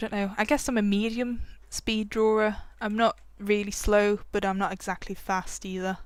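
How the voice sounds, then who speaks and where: On a very clean recording with a silent background, a woman is mumbling at a moderate pace with a medium pitch and monotone, flat intonation. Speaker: digital art tutorial creator. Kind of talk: tutorial. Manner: casual, hesitant with many fillers.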